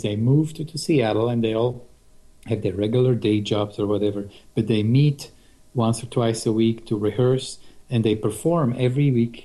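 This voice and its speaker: Speaking at a moderate pace with a non-native accent, a man has a dark, mellow tone, medium pitch and fairly even intonation. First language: not English. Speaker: guitarist. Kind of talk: casual interview.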